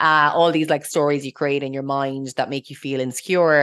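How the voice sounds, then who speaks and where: Against a quiet background, a woman speaks very fast in a very deep, low voice with flat, monotone intonation. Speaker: mindset coach and podcast co-host. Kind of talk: solo podcast monologue.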